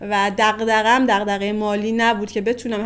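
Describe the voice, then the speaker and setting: A woman is speaking. Her pace is very fast. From northern Iran. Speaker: interviewee. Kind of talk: casual chat.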